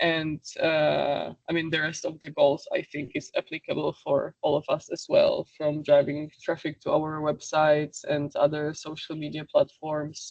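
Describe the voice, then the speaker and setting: Fairly slowly, a woman speaks with a non-native accent. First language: not English. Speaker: webinar presenter on social media. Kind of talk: webinar presentation. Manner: halting, many fillers.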